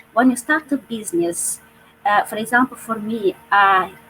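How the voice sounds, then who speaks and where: At a fairly slow pace, a woman with a non-native accent speaks at a fairly high pitch with ordinary pitch variation. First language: not English. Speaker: online business owner. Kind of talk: panel discussion. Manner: halting.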